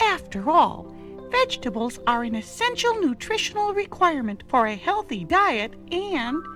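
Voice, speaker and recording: A female-sounding put-on character voice over clear music in the background. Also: moderate pace. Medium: read story.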